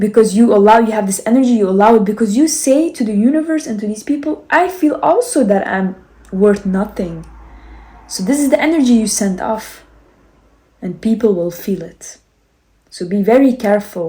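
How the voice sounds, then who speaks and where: A woman speaks in a fairly high pitch with a non-native accent and lively intonation. Her tone is dark and mellow, and somewhat breathy. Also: moderate pace. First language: not English. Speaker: self-help and spirituality vlogger. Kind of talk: motivational talk. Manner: animated, gestures with hands.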